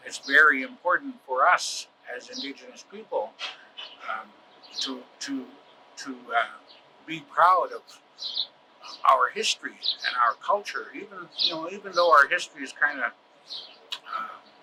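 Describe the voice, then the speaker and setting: There is noticeable background noise as a man talks at a moderate pace. His loudness swings widely, and he pauses long and often. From northern Alberta, Canada. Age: 60s. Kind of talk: personal testimony. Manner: halting, many fillers.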